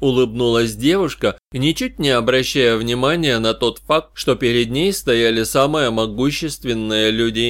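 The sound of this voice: The pitch varies in an ordinary way in this unforced reading voice.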